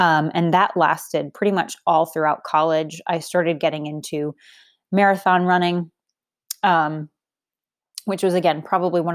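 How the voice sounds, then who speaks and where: With an American accent, a woman speaks at a moderate pace in a fairly low, monotone, flat voice. The recording is very clean and the background silent. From Boston, Massachusetts. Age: 30s. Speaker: fitness coach and podcast host. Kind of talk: solo podcast monologue. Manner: casual, filler-heavy.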